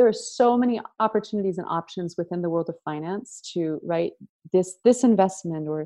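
Speaking at a moderate pace over a quiet background, a woman uses a medium pitch, a dark, mellow tone and ordinary pitch variation. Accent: American. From US Pacific Northwest. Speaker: wealth and values consultant, former opera singer. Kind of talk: interview.

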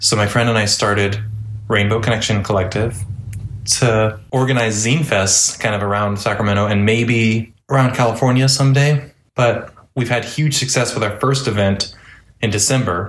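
This man's somewhat breathy voice sits at medium pitch, with fairly even intonation and very even loudness. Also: moderate pace. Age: 30s. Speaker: zine maker and artist. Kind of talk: casual interview chat.

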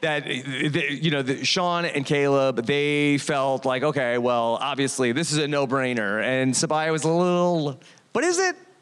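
A man with a fairly high pitch speaks at a fairly slow pace, with very even loudness and hardly any pauses. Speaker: podcast host. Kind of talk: live show recap with audience. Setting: stage with audience. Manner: animated, excitable.

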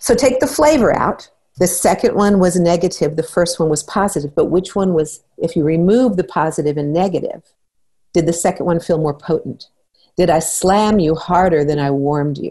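A woman speaks in a fairly low, somewhat breathy voice with a dark, mellow tone. Her pace is moderate and her pitch varies in an ordinary way. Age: 60s. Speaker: parenting therapist and trainer. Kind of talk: interview.

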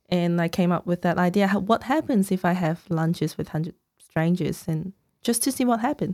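A woman speaks with a Cantonese accent at a fairly quick pace. Her medium-pitched voice shows ordinary pitch variation. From Hong Kong. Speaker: author. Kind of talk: casual interview chat.

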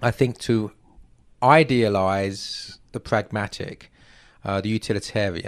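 Medium-pitched male speech in an English accent. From England. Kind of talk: literary discussion interview.

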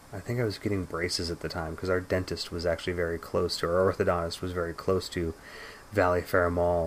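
With an American accent, a man talks at a very fast pace in a very deep, low voice, his intonation flat and monotone. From San Francisco Bay Area, California. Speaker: podcast host. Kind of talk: casual chat.

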